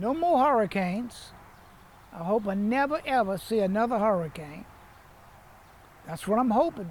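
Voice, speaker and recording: A south Louisiana accent with lively intonation, a moderate pace and long, frequent pauses. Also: man, high pitch for a man. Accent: south Louisiana Southern US. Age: 80s+. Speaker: citrus farmer. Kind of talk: interview.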